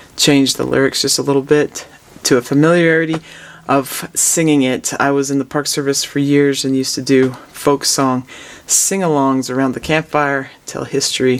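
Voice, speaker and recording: Over noticeable background noise, a man in a relaxed tone speaks fairly high with monotone, flat intonation. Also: moderate pace. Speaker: music professor. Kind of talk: lesson. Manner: relaxed, with frequent fillers.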